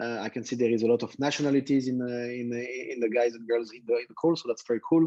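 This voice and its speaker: A man with a French accent talks very fast in a dark, mellow tone, his intonation fairly even while his loudness swings widely. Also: medium pitch for a man, hardly any pauses. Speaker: tech entrepreneur, company founder. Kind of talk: guest talk to students.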